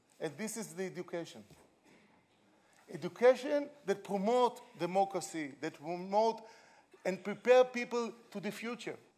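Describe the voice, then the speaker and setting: A man's high-pitched voice with an Israeli accent, moderate pace, long, frequent pauses and big swings in loudness. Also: ordinary pitch variation. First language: Hebrew. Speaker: education pioneer. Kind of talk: conference speech; video appeal. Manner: halting.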